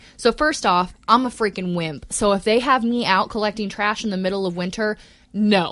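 Here is a woman with a normal speaking voice. She talks at a moderate pace with a medium pitch and ordinary pitch variation. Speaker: podcast co-host. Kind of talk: casual chat.

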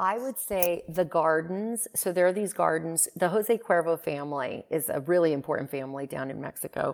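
In an unremarkable speaking voice, a woman talks at a moderate pace and fairly low pitch, with ordinary pitch variation and hardly any pauses. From Greece, moved to US at five. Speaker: beverage company co-founder and CEO. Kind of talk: interview conversation.

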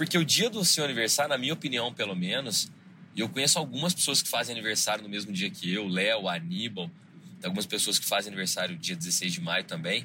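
Moving at a fairly quick pace, the voice has a bright, sharp tone and very wide pitch swings. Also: man, fairly low pitch for a man. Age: 30s. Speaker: podcast host. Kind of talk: solo monologue podcast.

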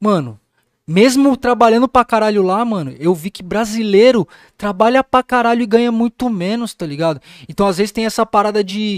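This man's pitch is high. The sound is dry and close, with no echo. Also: ordinary pitch variation, moderate pace. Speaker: music producer. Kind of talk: casual chat.

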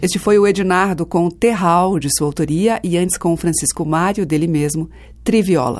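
Speaking at a moderate pace, a woman has a fairly low pitch and an unremarkable speaking voice. The recording is very clean, with a silent background. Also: ordinary pitch variation. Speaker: radio music show host. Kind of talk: radio presenting, scripted announcements. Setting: studio.

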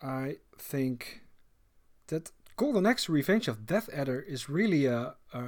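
A man speaks with a Dutch accent at a fairly slow pace. His intonation is lively. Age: 40s. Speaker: podcast host. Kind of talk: casual chat. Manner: halting.

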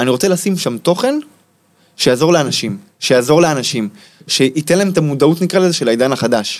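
A man's fairly high, lively voice at a fairly quick pace, with long, frequent pauses and very even loudness. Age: 30s. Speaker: life coach teaching manifestation. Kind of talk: interview.

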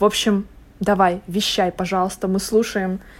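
A woman speaks at a medium pitch and a moderate pace. Her intonation is flat and monotone. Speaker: podcast host. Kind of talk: casual chat.

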